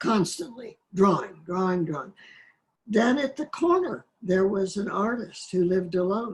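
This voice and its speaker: A woman talks at a moderate pace with medium pitch. Her intonation is lively and her voice somewhat breathy. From Oklahoma, US. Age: 90s. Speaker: poet. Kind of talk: interview, personal reminiscence. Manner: halting, with fillers and restarts.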